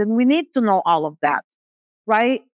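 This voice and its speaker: A woman's fairly high voice with a non-native accent, dry and close with no echo, against a quiet background. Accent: noticeable foreign. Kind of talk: conference talk. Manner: animated.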